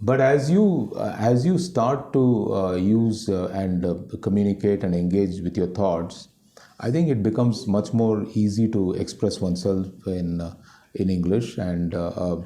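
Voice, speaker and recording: A man with a Tamil accent speaks fairly slowly in a dark, mellow tone at a fairly low pitch. His pitch variation is ordinary, and audible room echo surrounds the voice. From Delhi, India. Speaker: company CEO. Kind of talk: interview. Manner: halting, many fillers and repetitions.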